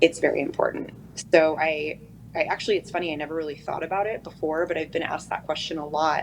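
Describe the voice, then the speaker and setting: Speaking at a very fast pace, a woman with an American accent keeps a very deep, low pitch and monotone, flat intonation. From eastern Oregon, US. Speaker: prosecutor and judicial candidate. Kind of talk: interview.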